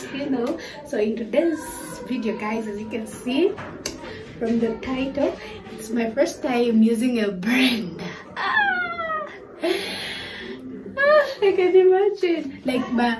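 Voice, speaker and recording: With music playing in the background, a woman speaks at a very slow pace, leaving long, frequent pauses. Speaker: YouTuber. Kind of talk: casual vlog chat. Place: home room. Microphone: phone near.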